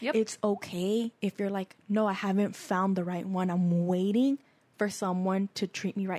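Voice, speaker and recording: A woman with a medium pitch speaks in an ordinary speaking voice at a moderate pace with fairly even intonation. The sound is dry and close, with no echo. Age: 20s. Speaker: podcast co-host. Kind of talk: casual chat. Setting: studio.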